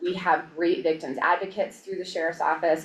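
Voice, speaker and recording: A woman talks at a fairly low pitch. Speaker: violence prevention presenter. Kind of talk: presentation at public meeting. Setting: county board work session. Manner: fast.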